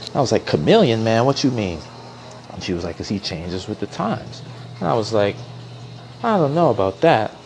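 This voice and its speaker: A man's animated, fairly quick voice at a medium pitch, with lively intonation, long, frequent pauses and noticeable background noise. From New York. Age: 30s. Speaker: educator. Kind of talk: casual monologue.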